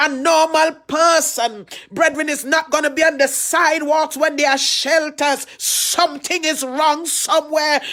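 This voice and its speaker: A woman's high voice in a Trinidadian accent, fairly even in intonation and very even in loudness, with hardly any pauses over noticeable background noise. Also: fairly slow pace. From Trinidad and Tobago. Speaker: pastor. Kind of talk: sermon.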